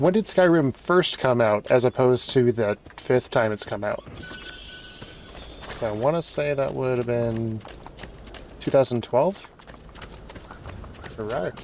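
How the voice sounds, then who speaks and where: Quietly and at a fairly slow pace, a man talks at a medium pitch with ordinary pitch variation and long, frequent pauses over noticeable background noise. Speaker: gaming streamer. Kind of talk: let's play commentary.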